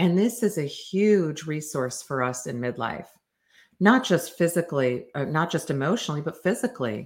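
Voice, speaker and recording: A woman's plain, everyday voice, fairly low in pitch, with lively intonation at a moderate pace in a very clean recording over a silent background. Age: 50s. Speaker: developmental psychologist podcast host. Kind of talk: solo educational talk.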